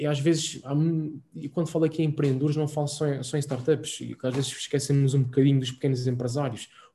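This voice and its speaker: Speaking at a very fast pace in an Azorean accent, a man uses a fairly high pitch with monotone, flat intonation. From Azores. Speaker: startup program manager. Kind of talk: interview.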